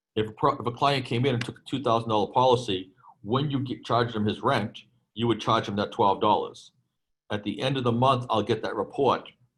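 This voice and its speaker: A man with a Boston accent speaks at a fairly quick pace in a somewhat breathy, medium-pitched voice with fairly even intonation. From Boston, US. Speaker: insurance program provider, storage operator. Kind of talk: webinar presentation Q&A.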